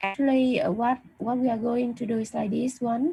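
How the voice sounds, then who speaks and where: A somewhat breathy voice with a dark, mellow tone. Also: woman. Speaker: university lecturer. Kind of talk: online lecture. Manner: halting, many fillers; slow.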